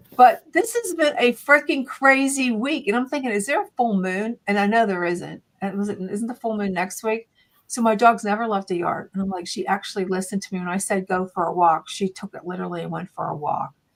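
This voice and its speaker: A woman's medium-pitched, animated voice at a fairly quick pace, with lively intonation. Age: 60s. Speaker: radio host. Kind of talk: casual chat; live radio interview. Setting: home studio.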